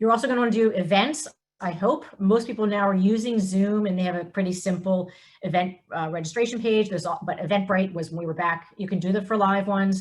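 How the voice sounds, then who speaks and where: Talking at a very fast pace, a woman with an American accent has a medium pitch. Her voice is somewhat breathy, with ordinary pitch variation. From US Northeast (Philadelphia and New York). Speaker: nonprofit executive director. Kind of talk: webinar presentation. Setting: video call.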